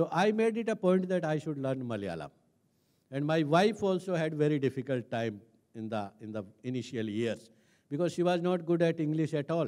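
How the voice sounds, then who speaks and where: A man with a dark, mellow tone and fairly high pitch speaks at a fairly quick pace with very wide pitch swings against a quiet background. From India, Rajasthan village. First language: Hindi. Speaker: senior civil servant; speaker. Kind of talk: talk; public talk, personal story. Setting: stage with audience. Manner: hesitant, frequent fillers. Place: stage. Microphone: handheld.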